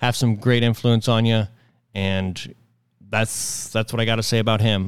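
Flat and monotone, the speech keeps a moderate pace. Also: man. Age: 20s. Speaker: amateur political podcast host. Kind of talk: casual news commentary.

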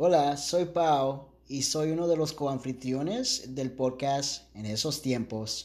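A man with a fairly high pitch talks at a very slow pace, with hardly any pauses. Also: ordinary pitch variation. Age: 30s. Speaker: podcast co-host. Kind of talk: casual chat; scripted intro.

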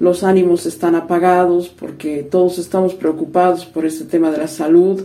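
Over noticeable background noise, a woman speaks at a fairly slow pace with a fairly low pitch. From Bolivia, La Paz. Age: 50s. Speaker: interviewee. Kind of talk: interview.

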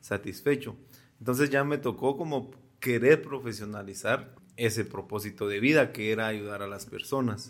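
A man's normal speaking voice at medium pitch and moderate pace, in a very clean recording with a silent background. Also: ordinary pitch variation. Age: 40s. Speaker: podcast co-host. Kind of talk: casual chat.

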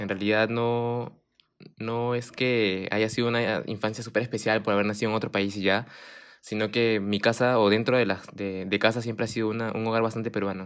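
A man with an unremarkable speaking voice talks at a moderate pace in a medium pitch. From Japan (Fuji), Peruvian parents. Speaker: university student. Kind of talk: casual chat.

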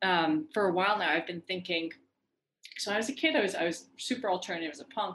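A woman talks very fast with lively intonation and a bright, sharp tone. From Iran. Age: 30s. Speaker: leadership and cultural intelligence educator. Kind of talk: podcast interview.

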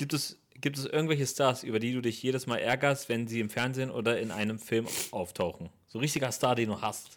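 At a fairly quick pace, a man speaks in a plain, everyday voice with medium pitch and ordinary pitch variation. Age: 30s. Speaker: podcast host and comedian. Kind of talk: casual chat.

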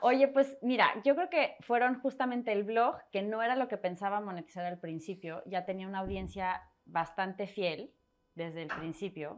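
A woman with a normal speaking voice talks at a moderate pace and medium pitch, her intonation lively. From Mexico City, part in Torreón, Coahuila. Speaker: personal finance author and blogger. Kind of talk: interview conversation.

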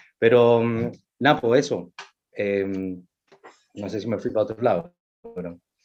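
A man talks fairly slowly in a Chilean accent, with long, frequent pauses. His pitch is fairly low, with ordinary variation. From Chile, Valparaíso. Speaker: actor and playwright. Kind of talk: casual chat. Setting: video call.

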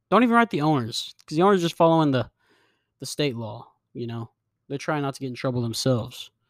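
In a dry, close sound with no echo and a very clean, silent background, a man speaks at a fairly high pitch with lively intonation. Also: long, frequent pauses, big swings in loudness. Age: 20s. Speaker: podcast host. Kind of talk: casual monologue. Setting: solo home recording, drinking beer.

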